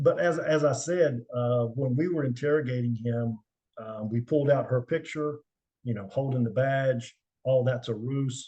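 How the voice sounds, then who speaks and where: A man's somewhat breathy, dark, mellow voice at a medium pitch, with a moderate pace, ordinary pitch variation and a quiet background. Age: 60s. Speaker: retired special agent, investigator. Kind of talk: interview, casual storytelling. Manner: halting, many fillers.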